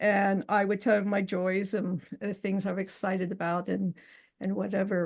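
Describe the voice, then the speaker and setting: With vocal fry and monotone, flat intonation, a woman speaks at a medium pitch and a moderate pace. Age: 60s. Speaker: interview guest, widow. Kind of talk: casual interview, personal testimony. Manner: hesitant, with many filler words.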